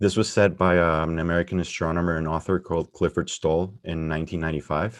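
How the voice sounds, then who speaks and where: The speech runs at a very fast pace with hardly any pauses and a monotone, flat intonation. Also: man, very deep, low pitch for a man, quiet background. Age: 20s. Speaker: software engineer. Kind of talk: conference talk.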